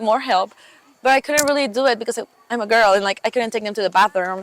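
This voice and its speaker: The speaker is a woman with a fairly high pitch. Her pitch varies in an ordinary way. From Mexico. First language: Spanish. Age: 20s. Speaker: camp counselor. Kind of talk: casual interview chat. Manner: hesitant, many fillers.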